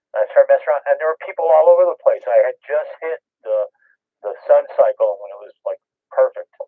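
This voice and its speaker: A man at a very fast pace, with big swings in loudness. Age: 60s. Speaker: ham radio operator. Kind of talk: casual chat. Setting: radio transmission.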